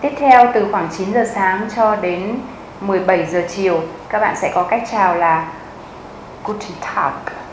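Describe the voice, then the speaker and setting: Speaking at a very slow pace, a woman leaves long, frequent pauses, with ordinary pitch variation. Audible room echo and light background noise surround her voice. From Vietnam. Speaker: German language teacher; language teacher. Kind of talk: tutorial. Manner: slow, clear repetition. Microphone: lapel.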